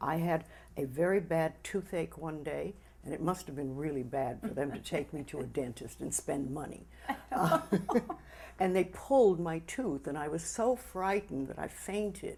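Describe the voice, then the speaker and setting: A woman's very deep, low pitch with a dark, mellow tone, vocal fry and lively intonation. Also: moderate pace. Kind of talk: interview answer.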